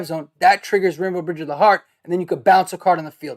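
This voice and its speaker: A high-pitched man with a Brooklyn accent is heard in a dry, close sound with no echo, on a very clean recording over a silent background. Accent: New York (Brooklyn). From Brooklyn, New York. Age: 30s. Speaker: gaming streamer. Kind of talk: casual commentary. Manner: halting, many fillers.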